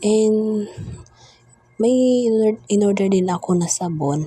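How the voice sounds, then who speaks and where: A woman speaks at a very slow pace. Music is playing behind her. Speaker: vlogger. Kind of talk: voice-over narration. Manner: halting, broken-up speech; casual, chatty.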